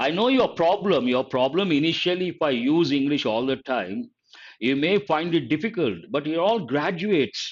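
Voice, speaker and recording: In an Indian accent, a man with a fairly high pitch talks at a fairly slow pace over a quiet background. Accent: Indian English (Telugu). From Telugu-speaking South India. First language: Telugu. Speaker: English teacher. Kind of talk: live online lecture. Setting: live stream.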